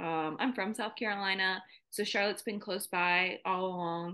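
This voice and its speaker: At a moderate pace, a woman talks against a quiet background. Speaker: podcast guest. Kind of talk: interview answer. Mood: warm, laughing at times. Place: home room. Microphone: video call.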